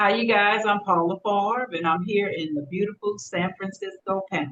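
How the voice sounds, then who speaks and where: Ordinary pitch variation marks this woman's speech. She has an American accent. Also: medium pitch for a woman, moderate pace. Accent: slight Creole Southern. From Mississippi Gulf Coast, US South. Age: 50s. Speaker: retired army veteran, expat. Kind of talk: casual interview chat.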